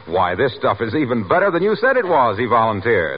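Noticeable background noise sits behind the recording. A man speaks with very wide pitch swings. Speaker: radio announcer. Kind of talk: scripted radio sponsor announcement. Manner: formal, smooth, polished salesman delivery.

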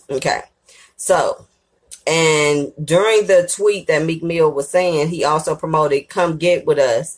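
This is a plain, everyday voice, with fairly even intonation and a fairly slow pace. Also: woman, fairly low pitch for a woman. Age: 30s. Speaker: podcast host, entertainment commentator. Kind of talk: casual monologue commentary.

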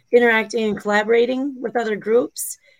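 A woman speaks with an Upper Midwest accent. Her pitch is fairly high. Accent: Upper Midwest American. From US Midwest. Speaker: co-host. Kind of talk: casual chat.

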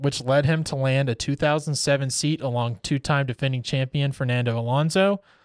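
A normal speaking voice from a man, fairly high in pitch with fairly even intonation at a moderate pace, dry and close with no echo, in a very clean recording with a silent background. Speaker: podcast co-host. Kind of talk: casual chat about F1.

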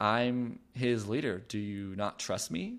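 A man at medium pitch, on a very clean recording with a silent background. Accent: American. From Los Angeles, California. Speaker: author and podcaster. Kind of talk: interview conversation.

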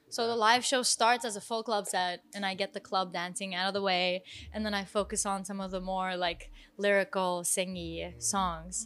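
On a very clean recording with a silent background, a woman speaks in a monotone, flat intonation. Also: medium pitch for a woman, moderate pace. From Turkey. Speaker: singer-songwriter. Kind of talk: casual interview. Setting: music venue.

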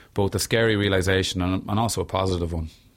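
A man with an Irish accent and a very deep, low pitch speaks very fast with fairly even intonation. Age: 30s. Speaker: singer and mental health author. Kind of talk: interview conversation.

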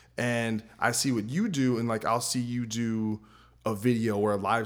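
The speaker has a New Jersey accent, heard on a very clean recording with a silent background. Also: man. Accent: American English, New Jersey. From New Jersey, US. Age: 30s. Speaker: podcast host and metal guitarist. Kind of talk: casual interview chat.

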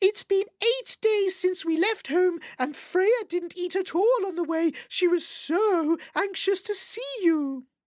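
In a put-on character voice, a woman squeaks at an extremely high pitch. Her delivery is fairly slow. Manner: sweet, gushing.

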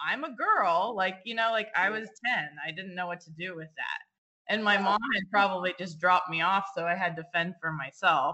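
In an American accent, a woman with a plain, everyday voice speaks at a moderate pace and medium pitch, with ordinary pitch variation, hardly any pauses and big swings in loudness. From California. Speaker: nonprofit founder for girls. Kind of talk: casual interview chat.

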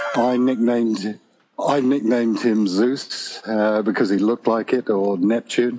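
A man at medium pitch speaks at a fairly slow pace with fairly even intonation and very even loudness. Noticeable background noise runs underneath. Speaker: pilgrim. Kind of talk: casual interview chat. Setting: phone call.

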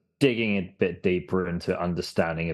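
With an English accent, a man speaks at a moderate pace in a very deep, low voice with ordinary pitch variation. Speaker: podcast guest. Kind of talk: casual chat.

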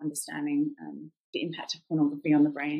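A woman speaks with a British accent. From England. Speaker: anti-trafficking activist. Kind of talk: casual interview.

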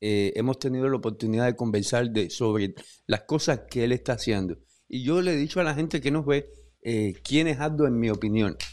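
A man with an ordinary speaking voice, medium pitch, ordinary pitch variation, very even loudness and a fairly quick pace against a quiet background. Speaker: podcast host. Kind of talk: interview conversation. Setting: studio.

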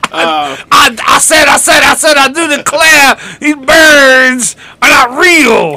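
The high, put-on character voice goes at a very slow pace, broken by long, frequent pauses. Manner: cartoonish.

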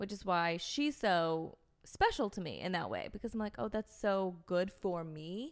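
With a normal speaking voice, a woman at a medium pitch talks at a fairly slow pace using lively intonation. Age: 20s. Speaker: podcast co-host. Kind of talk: casual chat.

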